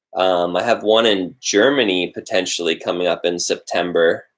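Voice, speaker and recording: This man's voice is very deep and low, with fairly even intonation at a moderate pace. The recording is very clean with a silent background. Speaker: vlogger and live streamer. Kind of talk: casual chat on a live stream. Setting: live stream. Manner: enunciating, professorial rhythm.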